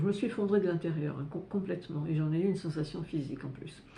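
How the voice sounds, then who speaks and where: Dark, mellow, somewhat breathy speech with ordinary pitch variation and audible room echo. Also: woman. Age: 70s. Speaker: astrologer and personal development youtuber. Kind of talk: personal testimony to camera. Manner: halting, many hesitations and repetitions.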